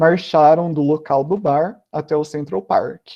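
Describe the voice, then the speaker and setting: This man has an ordinary speaking voice, fairly high in pitch, with ordinary pitch variation. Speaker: guest speaker at school online event. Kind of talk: educational talk. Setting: online live stream.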